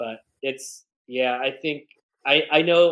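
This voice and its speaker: A man with a medium-pitched voice. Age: 30s. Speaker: photographer and long-distance hiker. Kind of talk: podcast interview. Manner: loud; halting, filler-heavy.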